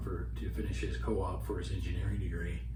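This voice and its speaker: Noticeable noise sits in the background. A man talks in a very deep, low pitch. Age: 60s. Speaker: hunting vlogger. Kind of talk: casual reflective monologue to camera. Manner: halting, frequent fillers. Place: home room. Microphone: camera far.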